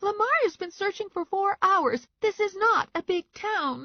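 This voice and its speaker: This put-on character voice is squeaky and extremely high in pitch, delivered at a moderate pace. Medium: read story. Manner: outspoken, excitable.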